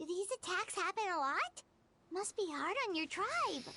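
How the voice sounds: A cartoonish character voice at an extremely high pitch moves at a moderate pace over music in the background.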